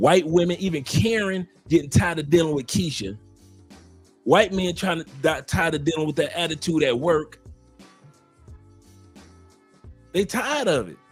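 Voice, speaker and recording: A high-pitched man with a Southern US accent, moderate pace broken by long, frequent pauses, ordinary pitch variation, and music in the background. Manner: ranting, critical.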